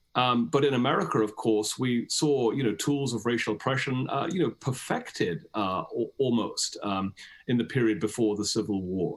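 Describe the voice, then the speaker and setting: A man with a British accent speaks at a medium pitch with lively intonation. He leaves hardly any pauses. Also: moderate pace. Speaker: historian and author. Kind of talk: interview. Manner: hesitant, many fillers.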